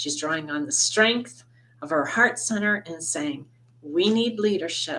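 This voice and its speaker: Loud and lively in intonation, a woman speaks at a fairly slow pace. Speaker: tarot reader and astrologer. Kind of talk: tarot reading monologue. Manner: loud, projecting; impassioned.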